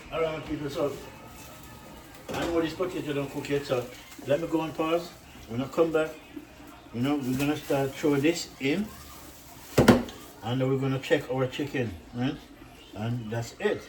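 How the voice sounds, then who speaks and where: A man speaks in a strong Jamaican accent at a moderate pace, with long, frequent pauses. His pitch is fairly high with ordinary variation, and there is noticeable background noise. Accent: Jamaican accent, kept strong. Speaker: cooking channel host. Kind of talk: casual cooking vlog. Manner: animated.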